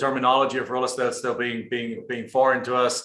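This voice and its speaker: Against audible room echo, a man at medium pitch talks at a fairly quick pace in a monotone, flat intonation with a German accent. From Germany. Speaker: real estate investor. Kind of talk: interview. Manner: frequent word repetitions.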